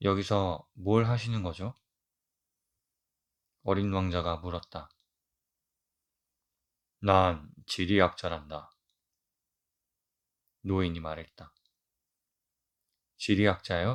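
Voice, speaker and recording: A man speaks at a very slow pace with a very deep, low pitch and fairly even intonation. Long, frequent pauses break up his speech over a quiet background. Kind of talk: audiobook reading for sleep.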